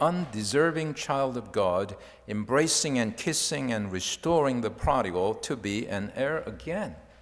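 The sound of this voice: The intonation is lively. It is an unforced reading voice.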